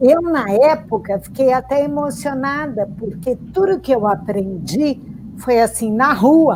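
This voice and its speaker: Over noticeable background noise, a woman with a high voice speaks fairly slowly, her pitch swinging very widely. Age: 60s. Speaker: writer. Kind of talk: panel discussion.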